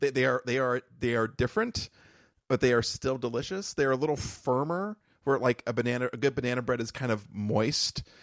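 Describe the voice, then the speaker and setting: Dry and close with no echo, this very clean recording has a silent background. A man talks at a fairly quick pace with ordinary pitch variation. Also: medium pitch for a man. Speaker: podcast co-host. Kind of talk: casual chat. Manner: loud.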